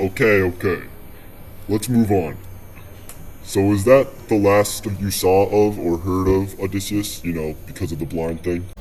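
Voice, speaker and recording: A man puts on a character voice, pitched fairly low. He speaks at a moderate pace over clear background noise. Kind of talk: podcast host. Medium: audio drama.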